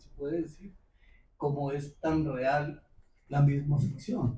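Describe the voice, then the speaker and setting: A man's voice is dark, mellow and somewhat breathy. He speaks at a very slow pace. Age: 70s. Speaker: audience member asking a question. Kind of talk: public Q&A comment. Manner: halting.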